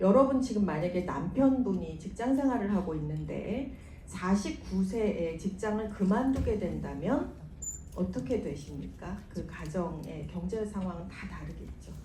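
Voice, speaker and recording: A woman at a fairly slow pace, calm in tone, with big swings in loudness, audible room echo and noticeable background noise. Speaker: business sponsor speaker. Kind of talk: motivational seminar talk. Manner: calm, lullaby-like.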